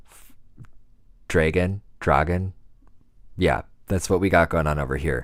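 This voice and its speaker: A man's very deep, low voice with vocal fry, relaxed in tone, with a Wisconsin accent, on a very clean recording with a silent background. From US Midwest, Wisconsin. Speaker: music producer. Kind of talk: livestream casual chat. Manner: relaxed, laid-back.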